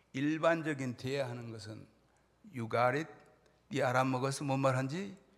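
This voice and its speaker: With audible room echo, a man speaks at a medium pitch and a fairly slow pace. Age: 60s. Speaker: pastor. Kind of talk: sermon.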